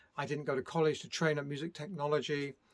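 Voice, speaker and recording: A man in a British accent talks at a fairly quick pace and a fairly high pitch. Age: 60s. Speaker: music producer. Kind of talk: casual vlog monologue. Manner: hesitant, many fillers.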